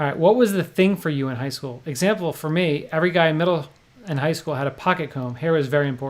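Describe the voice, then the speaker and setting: Very fast speech from a man, fairly high in pitch with ordinary pitch variation, against noticeable background noise. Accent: New Jersey. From New Jersey. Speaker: poker vlogger and livestream host. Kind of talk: casual chat. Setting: livestream.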